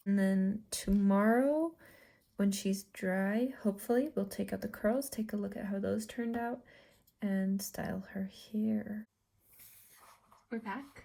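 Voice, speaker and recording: A somewhat breathy woman's voice at a fairly slow pace, with long, frequent pauses, on a very clean recording with a silent background. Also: medium pitch for a woman, ordinary pitch variation. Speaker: doll customizer. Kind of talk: chatty craft tutorial. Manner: sped up 1.25x; casual, chatty.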